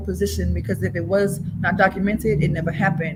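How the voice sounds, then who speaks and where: Speaking fairly quickly, a woman uses a medium pitch with vocal fry. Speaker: spoken word poet. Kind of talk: guided breathing exercise; improvised spoken-word poetry.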